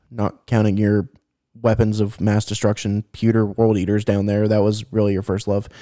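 A man with a dark, mellow tone and fairly low pitch speaks at a moderate pace in a flat monotone, on a very clean recording with a silent background. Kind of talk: casual chat. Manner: hesitant, repeats words.

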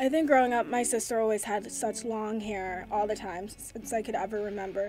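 A woman with an American accent speaks at a fairly quick pace with a fairly high pitch. Her tone is dark and mellow, and her intonation fairly even. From New York suburbs. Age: 20s. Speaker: communications coordinator. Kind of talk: casual chat.

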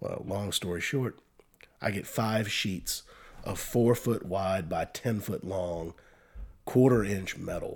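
In a Virginia accent, a man speaks at a very slow pace with a fairly low pitch. His pitch varies in an ordinary way, and the recording is very clean with a silent background. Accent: Virginia Southern. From US South, rural eastern Virginia (Northumberland County). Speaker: bank employee and amateur musician. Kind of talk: casual chat.

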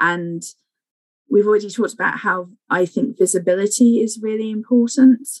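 With an English accent, a woman speaks at a moderate pace in a fairly high pitch, showing ordinary pitch variation. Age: 40s. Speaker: infection prevention clinical scientist. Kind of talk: interview.

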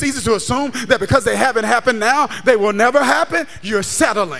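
At a fairly quick pace, a man with an extremely high voice speaks in a warm, animated tone over noticeable background noise. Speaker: pastor. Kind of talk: sermon. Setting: church with a live congregation and online chat. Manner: animated, call-and-response preaching, urging the crowd to shout, clap and say amen; warm, conversational and jokey, checking in with "does that make sense?".

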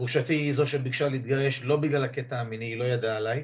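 A man with a normal speaking voice, medium in pitch, with fairly even intonation. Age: 50s. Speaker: divorced father telling his coming-out story. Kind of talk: interview testimony.

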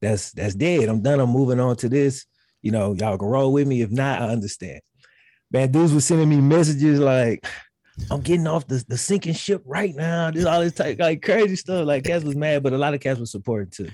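With a Southern US accent, a man speaks at a fairly quick pace in a fairly high pitch and a dark, mellow tone. His intonation is lively, and the recording is very clean with a silent background. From Mississippi. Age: 30s. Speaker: sports YouTuber. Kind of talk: casual chat.

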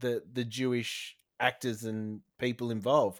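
Over a very clean recording with a silent background, a man speaks with an Australian accent. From New South Wales, Australia. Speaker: podcast host. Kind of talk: casual chat.

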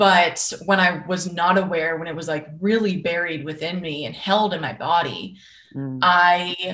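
At a fairly slow pace, a woman with an American accent and a normal speaking voice talks in a fairly low pitch with fairly even intonation and big swings in loudness. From Boston, US Northeast. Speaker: life coach. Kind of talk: interview.

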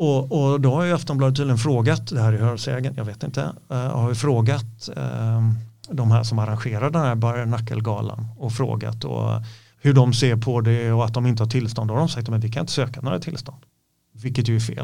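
A man's voice sits at medium pitch with a dark, mellow tone, somewhat breathy, at a moderate pace. His intonation is fairly even, and room echo is audible. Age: 50s. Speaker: MMA coach and former fighter. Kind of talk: casual interview chat. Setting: studio.

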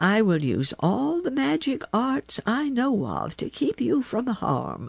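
Against a quiet background, a woman uses a put-on character voice with a calm, gentle tone at a fairly slow pace. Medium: read story. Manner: calm, gentle, grandmotherly.

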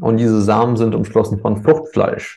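The voice has a dark, mellow tone. Vocal fry runs through it. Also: man. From Germany, born in Ukraine. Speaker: cacao business owner. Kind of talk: podcast interview.

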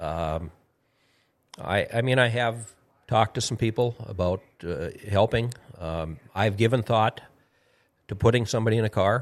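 Moderate pace and long, frequent pauses from a man with an Upper Midwest accent, fairly low in pitch, with ordinary pitch variation. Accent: Upper Midwest American. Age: 60s. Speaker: retired racing driver. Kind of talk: casual chat. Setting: studio.

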